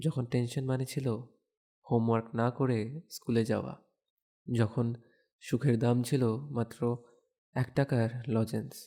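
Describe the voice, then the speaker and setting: A man's dark, mellow voice holds very even loudness and fairly even intonation. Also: medium pitch for a man. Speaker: audio storyteller. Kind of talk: audio series announcement. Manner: nostalgic, reflective.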